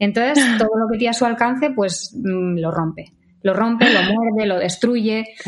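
A woman's fairly high voice moves at a moderate pace, with noticeable background noise behind it. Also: ordinary pitch variation. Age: 30s. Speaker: vegan social media creator. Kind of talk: interview.

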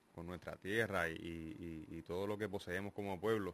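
At a fairly slow pace, a man with an unremarkable speaking voice keeps his intonation fairly even. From Puerto Rico. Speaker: radio studio guest. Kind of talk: live radio talk show.

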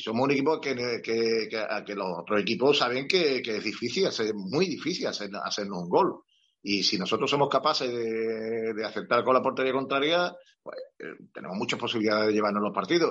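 With lively intonation and a medium pitch, a man speaks at a fairly quick pace in an ordinary speaking voice. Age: 60s. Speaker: retired football club physiotherapist. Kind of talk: interview.

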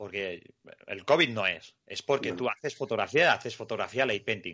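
Here a man speaks. He keeps a moderate pace. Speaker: podcast host. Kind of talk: casual podcast chat.

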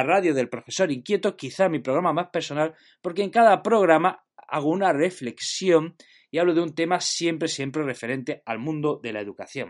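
A man speaks at a fairly quick pace with a high voice for a man. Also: quiet background. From Spain, Jaén (Andalusia). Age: 30s. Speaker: teacher and podcaster. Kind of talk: podcast monologue.

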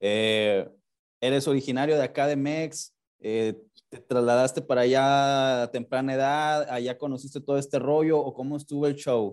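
Against a quiet background, a man speaks at a moderate pace with medium pitch and fairly even intonation. It is an ordinary speaking voice. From Mexico. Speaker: podcast host. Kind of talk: casual interview; show intro and outro.

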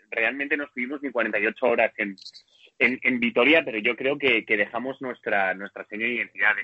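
With a normal speaking voice, a man holds a medium pitch and a moderate pace, his pitch varying in an ordinary way. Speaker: supporters' club member. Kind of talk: casual chat. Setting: airport. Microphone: may sound poor.

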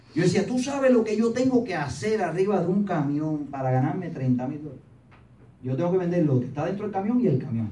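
A high-pitched man speaks fairly quickly in an animated tone, with very wide pitch swings. Audible room echo and noticeable background noise surround him. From Cuba, Pinar del Río. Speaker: motivational business speaker. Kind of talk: motivational talk to audience.

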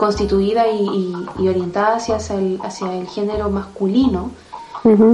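A woman's medium-pitched voice in a monotone, flat intonation at a moderate pace, with audible room echo and noticeable background noise. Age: 40s. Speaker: life coach. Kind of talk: interview conversation.

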